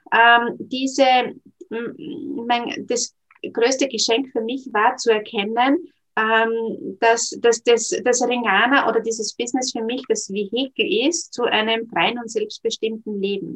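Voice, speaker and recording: A woman speaks at a very slow pace. Her pitch is fairly high with ordinary variation. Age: 40s. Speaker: network marketing entrepreneur and career counsellor. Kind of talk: interview. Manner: hesitant, many filler sounds.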